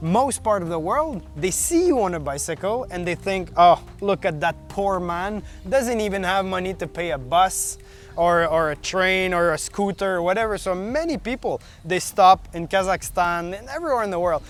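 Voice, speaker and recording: Speaking with a Quebec accent, a high-pitched man keeps a moderate pace and ordinary pitch variation. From Quebec, Canada. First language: French. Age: 30s. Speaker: long-distance bicycle traveler. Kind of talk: interview. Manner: halting.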